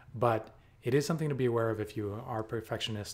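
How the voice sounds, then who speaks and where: A man talks at a moderate pace and medium pitch with ordinary pitch variation. His voice is somewhat breathy. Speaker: software developer. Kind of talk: casual talk to camera.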